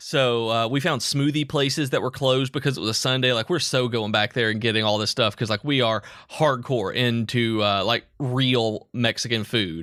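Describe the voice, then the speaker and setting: A man with a Southern US accent speaks at a moderate pace, medium in pitch with a bright, sharp tone, ordinary pitch variation and very even loudness. His delivery is animated with hardly any pauses, on a very clean recording with a silent background. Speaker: podcast co-host. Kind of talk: casual chat.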